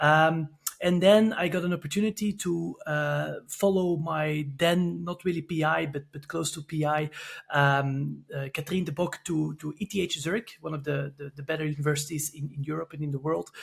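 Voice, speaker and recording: A man with a Belgian accent speaks at a moderate pace. His pitch is fairly high and his intonation fairly even. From Belgium, Antwerp. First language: Dutch. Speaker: sport scientist. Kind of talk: podcast interview. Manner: halting, many fillers.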